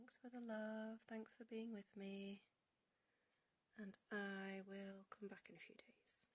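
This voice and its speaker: Speaking with a Yorkshire accent, a woman uses a fairly high pitch and a somewhat breathy voice. Her delivery is very slow and monotone, with flat intonation and long, frequent pauses. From northern England, York. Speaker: henna artist livestreaming. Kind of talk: casual livestream chat while drawing.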